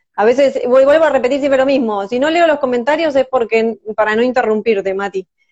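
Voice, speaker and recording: Hardly pausing, a woman with a high pitch and ordinary pitch variation talks at a fairly quick pace. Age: 30s. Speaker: live stream host. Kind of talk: interview.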